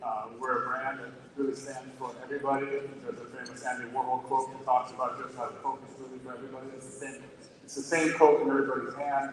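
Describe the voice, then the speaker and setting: The speech is very fast, with fairly even intonation but big swings in loudness. Audible room echo and noticeable background noise come through. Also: man, medium pitch for a man. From Sweden. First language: Swedish. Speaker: corporate sustainability executive. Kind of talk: panel discussion.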